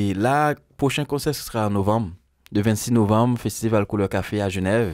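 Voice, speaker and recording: Against a quiet background, a man's fairly low voice comes through dry, with no echo. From Haiti. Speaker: musician; guest. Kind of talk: interview. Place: studio. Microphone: studio mic.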